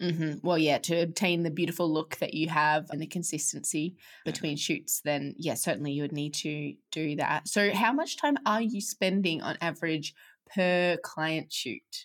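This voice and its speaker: This woman has an ordinary speaking voice, fairly low in pitch with ordinary variation, at a moderate pace. The recording is very clean, with a silent background. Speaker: podcast host. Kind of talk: podcast interview.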